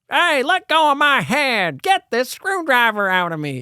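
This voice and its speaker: A put-on character voice, high-pitched with very wide pitch swings, moves at a moderate pace. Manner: goofy, distressed.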